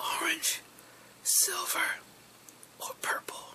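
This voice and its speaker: Noticeable background noise is present. Whispering comes through at a very slow pace. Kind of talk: ASMR whisper video reading fun facts. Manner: whispered.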